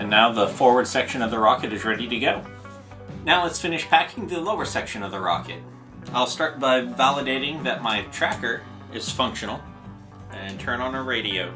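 Clear music plays in the background as someone speaks at a fairly quick pace. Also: man. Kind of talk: tutorial. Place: studio.

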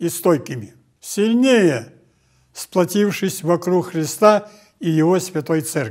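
A man speaks at a very slow pace and high pitch with ordinary pitch variation over a quiet background. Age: 80s+. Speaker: Orthodox metropolitan bishop. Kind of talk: New Year address read from teleprompter. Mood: calm, warm, solemn. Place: hall.

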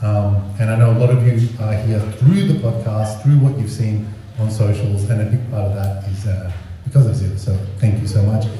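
A man's fairly low voice at a moderate pace, fairly even in intonation, with audible room echo and light background noise. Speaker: event host. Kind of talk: casual introduction. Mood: grateful, warm. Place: hall.

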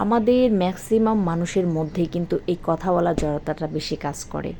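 This woman has a fairly low pitch, a dark, mellow tone, and ordinary pitch variation. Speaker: home baker and small business owner. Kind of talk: motivational talk.

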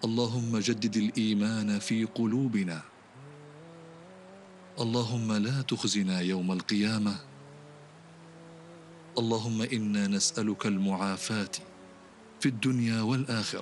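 A man talks at a very slow pace, with long, frequent pauses and fairly even intonation. His loudness stays very even, and the sound is dry with no echo over light background noise. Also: fairly low pitch for a man. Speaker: imam and Quran reciter. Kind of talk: supplication during night prayer. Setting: mosque. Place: church.

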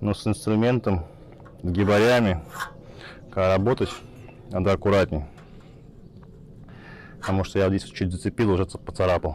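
Long, frequent pauses break up the speech of a man with a low pitch and fairly even intonation. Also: moderate pace, slightly mellow tone.

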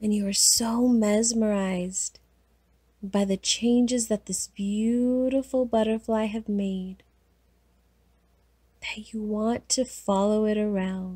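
Calm and soothing, a woman's somewhat breathy, fairly high-pitched voice with a dark, mellow tone moves at a very slow pace with monotone, flat intonation and long, frequent pauses. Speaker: hypnotherapist, guided hypnosis host. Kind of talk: guided hypnosis. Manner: slow, calm, soothing.

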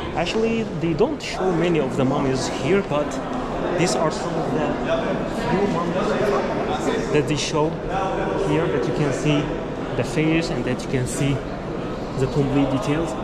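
A man talks at a fairly slow pace with long, frequent pauses and ordinary pitch variation over loud background noise. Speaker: travel vlogger guide. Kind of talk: casual vlog tour commentary. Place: hall. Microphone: phone near.

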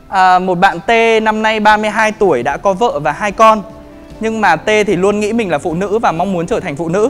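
Faint music sits behind the speaker. He is a man. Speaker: presenter. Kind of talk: lecture. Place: hall. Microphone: handheld.

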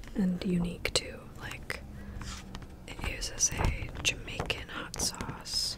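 A woman whispers very slowly, pausing often and at length. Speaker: ASMR creator. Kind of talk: ASMR casual ramble. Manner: whispered, soft-spoken. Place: home room. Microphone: studio mic.

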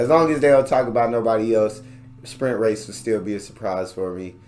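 Light noise sits behind speech that moves rather quickly. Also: man. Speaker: reaction youtuber. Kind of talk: casual video reaction, chatting to viewers. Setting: home recording, reacting to a video. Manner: animated, conversational, excitable.

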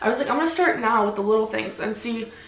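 A woman's voice with audible room echo. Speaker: vlogger. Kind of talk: casual vlog chat. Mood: earnest, reflective. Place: home room.

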